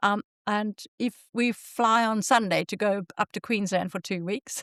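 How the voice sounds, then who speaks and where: A woman with a Zimbabwean accent speaks at a fairly slow pace, medium pitch and fairly even intonation. The very clean recording has a silent background and a dry, close sound with no echo. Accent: southern African (Zimbabwean). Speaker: podcast host. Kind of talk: casual chat.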